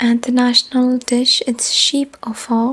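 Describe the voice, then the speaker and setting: Noticeable background noise sits behind a soft-spoken woman whispering at a very slow pace. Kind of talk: casual talk to camera, random facts. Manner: soft-spoken, whispering.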